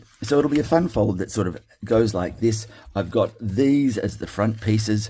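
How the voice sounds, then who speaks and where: A man's somewhat breathy voice, fairly low in pitch, dark and mellow in tone, with an Australian accent. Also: ordinary pitch variation, moderate pace. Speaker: card-making crafter. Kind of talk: tutorial. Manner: casual with many fillers; mumbles to himself at times.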